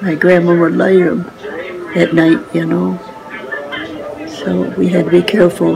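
Amid noticeable background noise, the speech moves at a fairly slow pace with long, frequent pauses. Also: woman. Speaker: care home resident. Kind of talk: interview answer. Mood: warm, nostalgic. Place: home room. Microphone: phone near.

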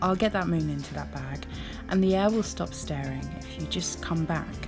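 Background music plays throughout. Over it, a woman talks. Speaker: poet. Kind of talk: poetry reading.

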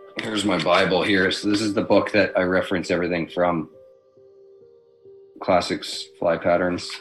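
A man speaks in a flat monotone. Faint music plays in the background. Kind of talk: tutorial. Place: home room. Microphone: webcam.

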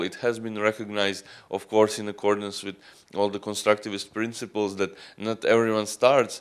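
A man with a Croatian accent speaks at a fairly low pitch. His pace is moderate, and the background is quiet. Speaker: student union representative; conference presenter. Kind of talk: conference talk. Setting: conference stage with audience. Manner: halting. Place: hall. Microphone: handheld.

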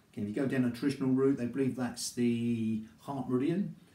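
Somewhat breathy and dark, mellow in tone, a man talks at a fairly quick pace with audible room echo. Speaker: qigong instructor. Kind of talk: exercise class instruction. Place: home room. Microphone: camera far.

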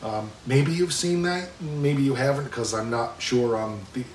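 A man talks at a moderate pace with ordinary pitch variation. Room echo can be heard.

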